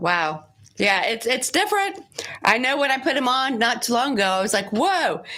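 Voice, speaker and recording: A high-pitched woman at a moderate pace, with very wide pitch swings and very even loudness. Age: 50s. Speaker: radio show co-host. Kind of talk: casual chat. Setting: studio.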